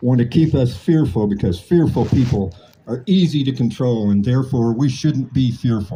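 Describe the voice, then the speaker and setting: A somewhat breathy man with an American accent and a dark, mellow tone moves through very wide pitch swings. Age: 60s. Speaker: political activist. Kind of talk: impassioned speech.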